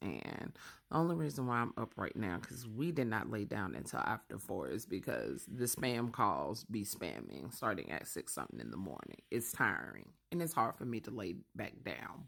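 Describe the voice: Using a put-on character voice, a man speaks in a raspy, fairly low register with very wide pitch swings, a moderate pace and hardly any pauses.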